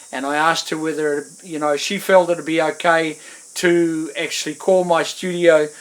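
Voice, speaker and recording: With a New Zealand accent and a high pitch, a man speaks at a fairly slow pace and fairly even intonation over noticeable background noise. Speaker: musician. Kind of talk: interview monologue. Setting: at home in front of guitars. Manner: hesitant, many fillers.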